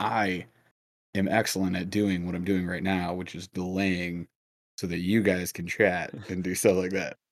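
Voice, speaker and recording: A man's put-on character voice, raspy and very deep, flat and monotone at a moderate pace, on a very clean recording with a silent background. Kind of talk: show host talking. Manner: very slow, deliberately stalling.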